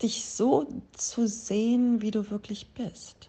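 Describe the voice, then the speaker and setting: Somewhat breathy, a woman speaks. Her pace is very slow. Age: 50s. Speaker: yoga teacher. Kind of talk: interview; guided meditation.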